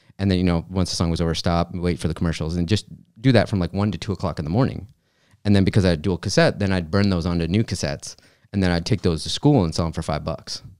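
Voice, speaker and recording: In a very clean recording with a silent background, a man with an American accent talks very fast in a very deep, low pitch with ordinary pitch variation. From Michigan. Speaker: fund manager. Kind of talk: casual chat.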